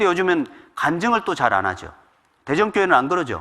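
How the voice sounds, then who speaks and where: At a fairly quick pace, a man speaks with a bright, sharp tone and high pitch. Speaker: pastor. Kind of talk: sermon. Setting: church. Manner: fast; occasional stumbles.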